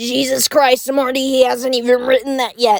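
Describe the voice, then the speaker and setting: A woman puts on a character voice at a high pitch. Her intonation stays monotone and flat. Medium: read story. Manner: stammering, condescending.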